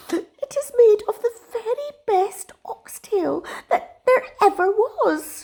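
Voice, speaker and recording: A woman's put-on character voice, extremely high-pitched and very slow. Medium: read story.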